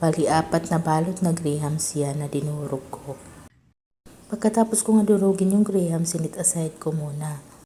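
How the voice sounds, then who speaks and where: Dark and mellow, somewhat breathy, a woman's fairly low voice moves at a moderate pace with ordinary pitch variation. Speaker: cooking content creator. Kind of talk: cooking voice-over tutorial. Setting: voice-over.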